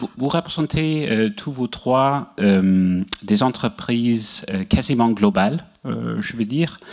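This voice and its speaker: Talking at a very slow pace, a man with a non-native accent uses a medium pitch and lively intonation. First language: not French (speaking French). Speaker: energy regulator director. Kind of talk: panel Q&A question. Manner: halting, searching for words.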